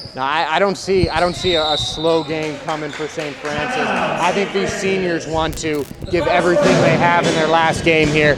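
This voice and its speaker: Speaking with an American accent, a man talks at a moderate pace in a fairly high pitch with fairly even intonation, amid noticeable background noise and audible room echo. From New York State, outside New York City. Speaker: color commentator. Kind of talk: live sports commentary.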